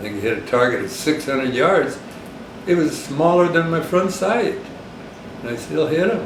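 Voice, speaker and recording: A man with an American accent and a fairly high pitch speaks at a moderate pace with long, frequent pauses, amid audible room echo and noticeable background noise. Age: 90s. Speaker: war veteran. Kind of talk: oral history interview. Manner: halting.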